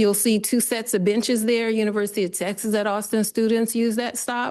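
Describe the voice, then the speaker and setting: A woman's fairly high-pitched voice at a fairly slow pace, against a quiet background. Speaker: public commenter. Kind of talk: public comment with slides. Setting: committee meeting boardroom.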